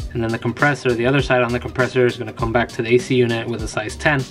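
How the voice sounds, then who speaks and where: Over faint music in the background, a man speaks at a very fast pace. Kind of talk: tutorial. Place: garage.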